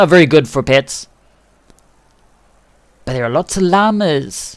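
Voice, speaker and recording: With a New Zealand accent, a man speaks at a fairly slow pace in a relaxed tone, his fairly high voice carrying lively intonation. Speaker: game livestreamer. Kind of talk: casual livestream commentary. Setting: microphone too close, buzzy. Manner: relaxed, chatty.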